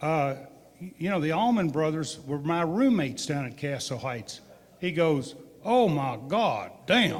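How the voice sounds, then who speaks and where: A high-pitched man speaking fairly slowly with lively intonation, amid audible room echo. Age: 60s. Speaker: distillery owner. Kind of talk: storytelling at a live public event. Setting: museum event with live audience. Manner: animated.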